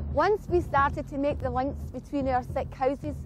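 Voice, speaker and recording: A woman with a Scottish accent talks at a moderate pace in a high voice. The sound is dry with no echo, with light background noise. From Glasgow, Scotland. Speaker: community anti-poverty activist. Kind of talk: documentary narration. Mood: earnest, impassioned. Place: open country.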